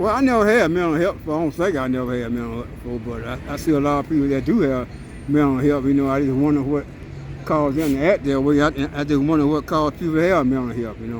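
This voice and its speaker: This man talks at a very fast pace with ordinary pitch variation. Noticeable background noise runs through the clip. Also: fairly high pitch for a man. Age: 70s. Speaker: homeless man. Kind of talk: street interview. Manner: halting, repetitive.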